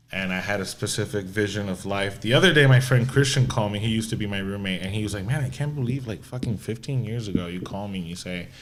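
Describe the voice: With few pauses and a fast pace, a man speaks at a fairly low pitch amid strong room echo. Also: ordinary pitch variation.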